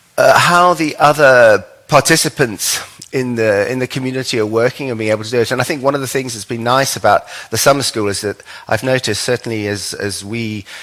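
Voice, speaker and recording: Speaking at a fairly quick pace, a man uses a medium pitch with ordinary variation and a bright, sharp tone. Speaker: lecturer presenting an ontology to a summer school. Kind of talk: lecture. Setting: stage with audience. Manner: fast; hesitant, many fillers.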